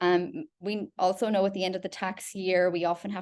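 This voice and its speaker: A woman with an Irish accent speaks at a medium pitch against a quiet background. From Ireland. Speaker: product specialist presenting a webinar. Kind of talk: webinar presentation. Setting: online webinar call. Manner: frequent fillers (um).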